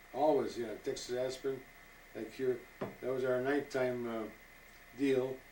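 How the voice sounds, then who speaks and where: A man's monotone, flat delivery at medium pitch, dark and mellow in tone, at a moderate pace. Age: 80s+. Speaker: retired scout leader. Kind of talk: interview. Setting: at his home. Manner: halting.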